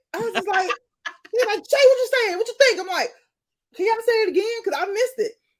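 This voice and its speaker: A woman's extremely high-pitched, animated voice at a very fast pace, with long, frequent pauses and ordinary pitch variation. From US South, Atlanta. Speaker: podcast host. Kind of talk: interview.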